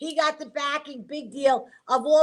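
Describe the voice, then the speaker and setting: A woman speaks with a high pitch. Her pace is fairly slow. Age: 60s. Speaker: political commentator. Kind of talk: talk show political discussion. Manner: animated.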